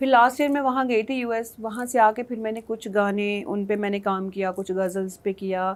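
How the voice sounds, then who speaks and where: A woman's fairly high voice at a moderate pace, fairly even in intonation, with hardly any pauses, in a very clean recording over a silent background. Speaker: singer and former model. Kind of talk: TV talk show interview.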